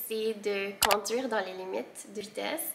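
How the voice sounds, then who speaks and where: Against noticeable background noise, a woman speaks at a fairly high pitch with fairly even intonation. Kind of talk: casual talk to camera.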